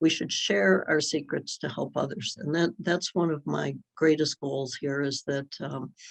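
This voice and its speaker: A woman with vocal fry speaks at a fairly slow pace against a quiet background. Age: 70s. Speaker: advocate and speaker on drug harms. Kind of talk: workshop presentation. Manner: halting, many fillers and repeats.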